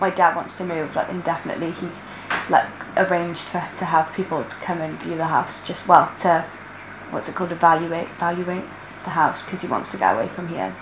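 With noticeable background noise behind her, a woman speaks in a fairly low pitch with monotone, flat intonation. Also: fairly quick pace. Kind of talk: interview answer. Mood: worried, subdued. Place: home room.

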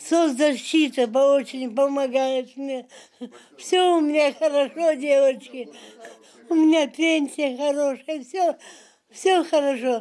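A woman speaks very slowly in a high voice with a dark, mellow tone, fairly even intonation, and long, frequent pauses. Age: 80s+. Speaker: birthday celebrant. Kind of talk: interview answer. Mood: content, warm. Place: home room.

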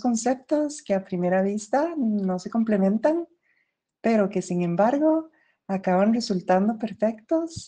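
Somewhat breathy and fairly high, a woman's voice carries a dark, mellow tone and lively intonation at a fairly slow pace. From Costa Rica. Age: 20s. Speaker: voice feminization patient and singer. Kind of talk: reading aloud; testimony.

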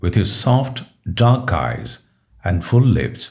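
There's vocal fry in this man's voice, heard over a quiet background. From Kerala, India. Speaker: English teacher. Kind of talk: reading aloud with translation. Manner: halting, phrase by phrase.

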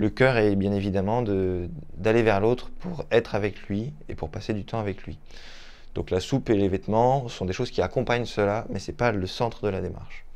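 Speaking at a moderate pace, the man keeps a fairly low pitch that varies in an ordinary way. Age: 30s. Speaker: volunteer, photographer. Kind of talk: testimony. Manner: halting, with repetitions. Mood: calm, earnest. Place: home room.

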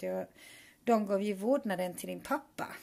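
A woman's dark, mellow voice at medium pitch and moderate pace. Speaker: vlogger, mother. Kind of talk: personal video message.

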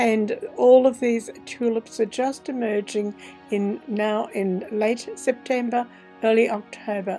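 A woman with an Australian accent and fairly high pitch, fairly even in intonation, at a very slow pace, with music in the background. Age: 70s. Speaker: painter. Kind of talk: garden visit narration.

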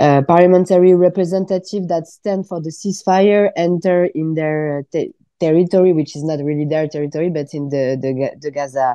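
In a French accent, a woman with a fairly low pitch talks at a fairly quick pace with hardly any pauses and fairly even intonation against a quiet background. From France. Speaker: politician; politician guest. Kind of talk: radio interview. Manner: halting. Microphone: video call.

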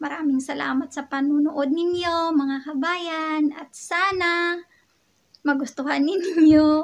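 A very slow, monotone delivery with flat intonation and big swings in loudness. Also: woman, high pitch for a woman. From Philippines, Western Visayas (Ilonggo). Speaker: vlogger. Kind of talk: casual vlog talk. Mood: cheerful, smiling. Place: home room. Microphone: phone near.

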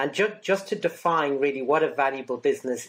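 With an Irish accent, a man talks at a moderate pace in a fairly high pitch with ordinary pitch variation. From Ireland. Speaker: business consultant. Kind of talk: interview. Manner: halting. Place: home room.

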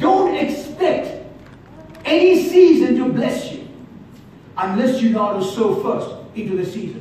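This man's voice sits extremely high, swinging very widely in pitch and greatly in loudness. His fairly slow delivery has long, frequent pauses, heard through strong room echo and light background noise. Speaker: preacher. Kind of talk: sermon. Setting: church. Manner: animated; repetitive, call-and-response. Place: church. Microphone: camera far.

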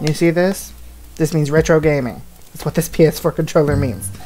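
A woman with a very deep, low pitch speaks as faint music plays in the background. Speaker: gaming video creator. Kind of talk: casual let's play commentary. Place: home room.

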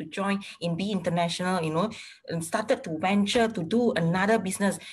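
A woman speaks at medium pitch, sounding somewhat breathy. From Malaysia. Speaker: interviewer. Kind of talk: casual interview. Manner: code-switching between English and Malay. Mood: warm, praising. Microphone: video call.

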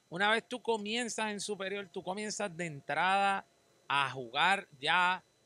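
A man with a high pitch uses a raised, projected voice and a bright, sharp tone. He goes at a fairly slow pace, in a dry sound with no echo. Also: ordinary pitch variation. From Puerto Rico. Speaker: podcast host. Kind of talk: casual interview. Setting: outdoors. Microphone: handheld.

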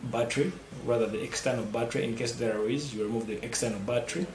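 A man's voice with ordinary pitch variation, over noticeable background noise. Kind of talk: tutorial. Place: office.

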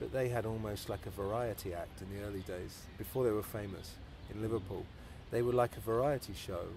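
Over music in the background, a man with a fairly low pitch talks at a fairly quick pace with fairly even intonation, the sound dry with no echo. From southern England (near London). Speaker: interviewer. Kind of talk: interview. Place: home room.

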